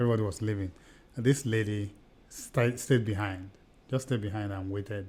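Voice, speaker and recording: With a Nigerian accent, a man speaks at a fairly low pitch and fairly quick pace, somewhat breathy with fairly even intonation and long, frequent pauses, on a very clean recording with a silent background. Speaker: podcast co-host, seminar trainer. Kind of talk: casual chat.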